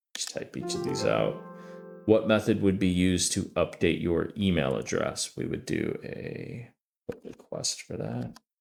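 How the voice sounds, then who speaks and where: Music plays behind a man's voice. He speaks at a fairly slow pace. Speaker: cybersecurity student. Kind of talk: tutorial walkthrough.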